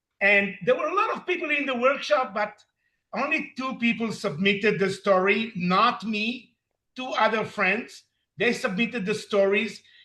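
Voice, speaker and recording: Projecting his raised voice with a bright, sharp tone, a man speaks at a moderate pace in a high pitch with ordinary pitch variation. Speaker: recovery program member, story author. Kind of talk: interview.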